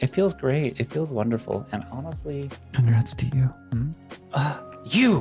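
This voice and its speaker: A woman's very deep, low voice, excited and enthusiastic in tone, fairly slow, with lively intonation and music in the background. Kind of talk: casual talk to camera, meme reaction video. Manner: excited, emotional, enthusiastic.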